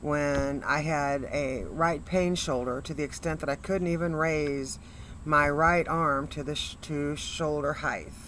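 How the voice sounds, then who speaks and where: A woman speaks at a very deep, low pitch in a monotone, flat way. Her pace is fairly slow, and the room echo is audible. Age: 60s. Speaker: motivational speaker, cancer patient. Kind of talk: testimony.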